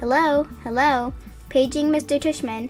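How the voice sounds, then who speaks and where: With clear music in the background, a woman puts on a high-pitched character voice at a moderate pace. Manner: mock, playful.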